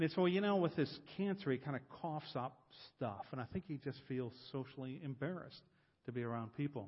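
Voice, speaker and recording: In an American accent, a man talks at a fairly quick pace in a somewhat breathy voice. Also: ordinary pitch variation. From US Midwest, Columbus, Ohio. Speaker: guest preacher, discipleship coach. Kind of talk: sermon.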